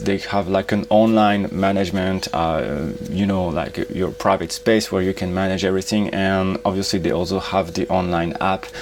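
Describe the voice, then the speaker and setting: A man with a French accent speaks in a very deep, low voice, with hardly any pauses. Noticeable background noise sits underneath. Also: fairly even intonation, moderate pace. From France. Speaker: YouTuber, travel and finance reviewer. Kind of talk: product review. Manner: hesitant, many fillers.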